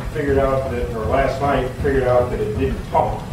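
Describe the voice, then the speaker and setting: Audible room echo and noticeable background noise surrounding a man's voice. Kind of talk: explanatory commentary to camera. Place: workshop.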